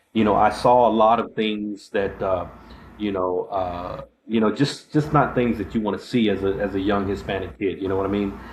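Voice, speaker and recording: The voice is somewhat breathy, with a Texan accent. Pitch varies in an ordinary way. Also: man, fairly low pitch for a man. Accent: Texas accent with a drawl. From Texas, Abilene. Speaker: podcast host, army veteran. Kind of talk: casual interview chat. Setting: live-streamed show. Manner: halting, many fillers.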